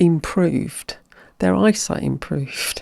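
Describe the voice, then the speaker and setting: A woman with an English accent, in a dry, close sound with no echo. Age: 60s. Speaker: mind-body practitioner and hypnotherapist. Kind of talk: podcast interview.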